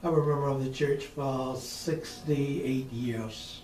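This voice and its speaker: With audible room echo, a man at a medium pitch speaks in a monotone with flat intonation. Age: 70s. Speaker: retired church member. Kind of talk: oral history interview. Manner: halting.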